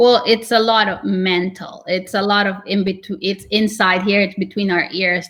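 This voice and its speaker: Fairly slow, fairly even speech from a medium-pitched woman on a very clean recording with a silent background. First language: not English. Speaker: real estate agent, team leader. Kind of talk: interview.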